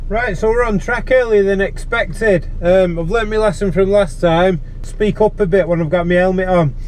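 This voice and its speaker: Loud and with hardly any pauses, a man talks at a moderate pace with a high pitch and fairly even intonation, amid audible room echo and noticeable background noise. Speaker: amateur track day driver. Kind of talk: driving commentary vlog. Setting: in a car on race track, wearing helmet. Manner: loud, speaking up over helmet.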